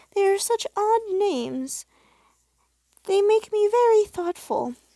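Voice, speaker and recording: A woman puts on a character voice that is squeaky and extremely high. She speaks at a fairly slow pace. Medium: read story.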